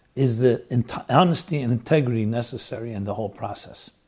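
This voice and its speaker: A man is talking. His voice is somewhat breathy. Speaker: rabbi and lecturer. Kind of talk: lecture.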